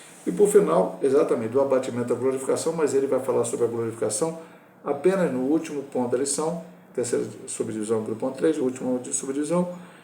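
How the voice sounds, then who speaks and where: With noticeable background noise and audible room echo, a man talks very fast at a medium pitch, his intonation lively. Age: 60s. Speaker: pastor. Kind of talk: Sunday school Bible lesson. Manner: informal, conversational teaching.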